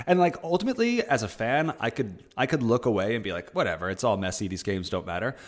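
A man talks at a very fast pace with hardly any pauses. His pitch swings very widely. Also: medium pitch for a man. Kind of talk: casual chat about basketball. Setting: video call.

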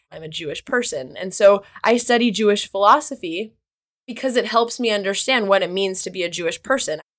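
Using an ordinary speaking voice with an American accent, a woman talks at a fairly quick pace. Her medium-pitched voice has lively intonation. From US Midwest, Kansas. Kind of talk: casual interview conversation.

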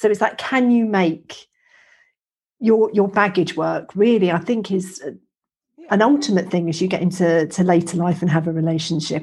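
A woman's somewhat breathy, medium-pitched voice with ordinary pitch variation, at a moderate pace over a quiet background. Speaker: podcast host, menopause educator. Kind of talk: casual interview.

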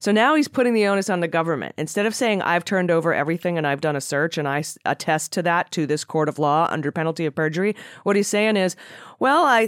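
Talking at a very fast pace, a woman with an American accent has a fairly low pitch, recorded dry and close with no echo. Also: very clean recording, silent background. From US Midwest (Cleveland, Ohio). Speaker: podcast host. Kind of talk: casual news discussion.

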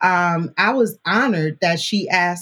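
A woman's medium-pitched, somewhat breathy voice with an American accent and lively intonation. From New Orleans, Louisiana (Marrero, West Bank). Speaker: podcast producer and host, university alumna. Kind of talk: casual interview chat. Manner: animated.

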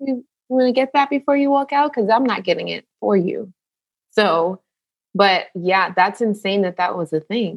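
An American-accented woman with an unremarkable speaking voice talks at a moderate pace and medium pitch with lively intonation. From New York, Jamaican family. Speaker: nurse and author. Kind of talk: casual chat.

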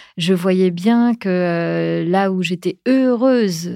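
A woman speaks at a medium pitch in a dark, mellow tone. The recording is very clean, with a silent background. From France. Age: 40s. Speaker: podcaster, breast cancer survivor. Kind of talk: interview. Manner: hesitant, many fillers.

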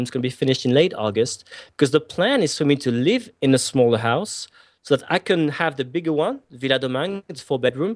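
A man with a French accent speaks at a fairly quick pace in a fairly high pitch with lively intonation. The background is quiet. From France. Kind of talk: interview.

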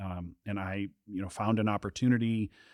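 In a very clean recording with a silent background, a man with an American accent speaks at a moderate pace in a normal speaking voice, fairly low in pitch, with fairly even intonation. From southern Wisconsin, US Midwest. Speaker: government contractor, entrepreneur. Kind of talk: interview conversation.

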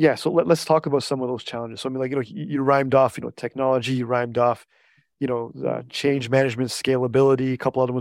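Heard in a dry, close sound with no echo, a man with a medium pitch talks at a very fast pace. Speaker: podcast host. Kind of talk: interview. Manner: enthusiastic.

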